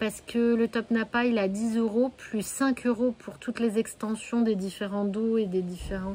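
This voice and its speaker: Her voice sits fairly high in pitch. She talks at a very slow pace with ordinary pitch variation. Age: 30s. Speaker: sewing podcaster. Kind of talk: casual podcast monologue. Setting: home, with her hens nearby. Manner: hesitant, many fillers.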